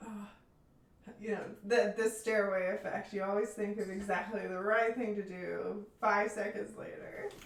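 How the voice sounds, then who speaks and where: In an American accent, a woman speaks at a medium pitch and moderate pace, flat and monotone, with audible room echo. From Tennessee, US South. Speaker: researcher, former graduate research assistant. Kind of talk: casual chat. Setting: live stream.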